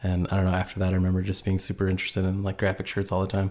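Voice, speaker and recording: In a very clean recording with a silent background, a man with an American accent speaks very fast at a very deep, low pitch in a monotone, flat delivery. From US Midwest, northern Indiana. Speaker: graphic designer and clothing brand founder. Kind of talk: casual chat.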